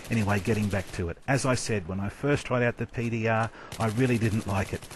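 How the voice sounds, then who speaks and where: This man talks at a moderate pace with an Australian accent. His pitch sits in the medium range, his intonation is fairly even, and noticeable background noise can be heard. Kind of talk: video game weapon commentary. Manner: well-spoken, teacher-like.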